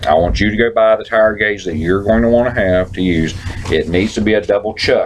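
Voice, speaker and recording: Against noticeable background noise, a man with a fairly low pitch talks at a fairly quick pace with fairly even intonation. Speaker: trucking safety manager. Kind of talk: safety meeting talk. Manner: loud.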